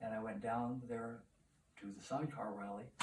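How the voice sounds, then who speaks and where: There is noticeable background noise behind this recording. A man speaks at a medium pitch and a moderate pace. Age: 80s+. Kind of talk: interview answer. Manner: humorous storytelling.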